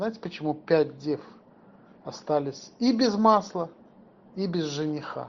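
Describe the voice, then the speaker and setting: Long, frequent pauses interrupt the talking. The pace is very slow. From former Soviet Union. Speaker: lay religious teacher. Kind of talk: sermon.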